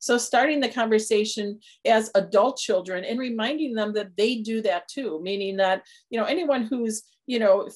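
In a normal speaking voice, a woman with an American accent talks at a fairly quick pace, her fairly high pitch showing ordinary variation against a quiet background. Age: 60s. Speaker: senior care planning firm founder. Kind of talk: interview.

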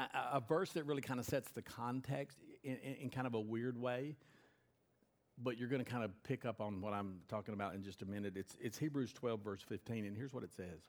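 Using a plain, everyday voice, a man talks at a fairly quick pace and medium pitch with ordinary pitch variation. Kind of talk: fervent pastoral prayer, eyes-closed congregational prayer mid-sermon.

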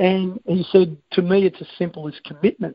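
This man's voice is high-pitched and moves along at a moderate pace. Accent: Australian. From Australia. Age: 50s. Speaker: sports coaching consultant. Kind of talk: presentation on a conference call. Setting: conference call.

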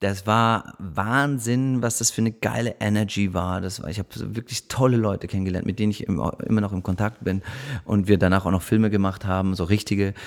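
A man's fairly low voice, fairly quick in pace, with ordinary pitch variation. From Munich, Germany. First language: French (speaking German). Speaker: actor. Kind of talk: casual chat. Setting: living room. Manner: halting.

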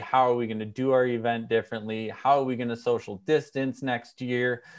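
A man with an American accent, medium pitch and a plain, everyday voice, at a moderate pace against a quiet background. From Minnesota. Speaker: event organization founder. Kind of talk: casual interview chat. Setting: remote interview.

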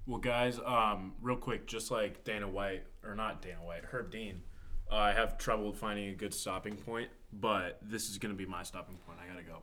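Speaking at a moderate pace, a man with an ordinary speaking voice and fairly low pitch keeps fairly even intonation, though his loudness swings widely. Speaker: guest, non-fan. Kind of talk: casual chat. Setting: studio.

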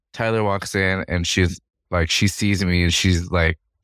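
Over a silent background in a very clean recording, a man talks with a very deep, low pitch and fairly even intonation. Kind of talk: casual chat. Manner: flat, sounds uninterested.

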